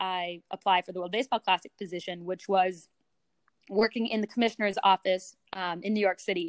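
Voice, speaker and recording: In a normal speaking voice with an American accent, a woman speaks at a moderate pace with fairly even intonation on a very clean recording with a silent background and a dry, close sound with no echo. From US West Coast, San Francisco. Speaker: sports communications director. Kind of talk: interview.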